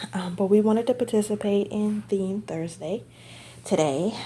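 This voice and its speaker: This woman's voice has a dark, mellow tone and is somewhat breathy. Her intonation is lively. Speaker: reborn doll collector and vlogger. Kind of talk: casual show-and-tell vlog.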